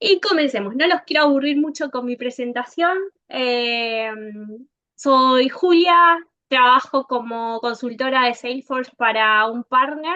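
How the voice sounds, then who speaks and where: With an Argentine accent, a woman speaks at a high pitch and a fairly slow pace, with ordinary pitch variation. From Argentina. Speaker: software consultant. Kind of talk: conference talk.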